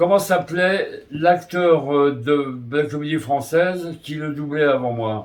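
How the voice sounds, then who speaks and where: A man speaks very slowly with hardly any pauses, his fairly high pitch showing ordinary variation. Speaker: voice actor. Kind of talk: interview answer. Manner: hesitant.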